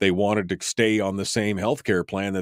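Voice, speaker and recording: A man's fairly low voice, a normal speaking voice, at a fairly quick pace in a dry, close sound with no echo. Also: very clean recording, silent background. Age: 50s. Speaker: radio talk show host. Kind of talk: talk radio, reading listener chat. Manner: casual, conversational with fillers.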